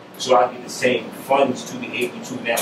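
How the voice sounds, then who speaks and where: A speaker with a New York accent is heard over noticeable background noise. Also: man. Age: 40s. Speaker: political candidate and community leader; candidate. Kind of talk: interview. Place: studio.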